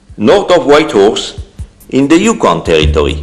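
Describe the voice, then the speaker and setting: A man talks at a moderate speed. Background music plays throughout. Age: 60s. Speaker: retired prospector narrating home film. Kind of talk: scripted narration. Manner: formal.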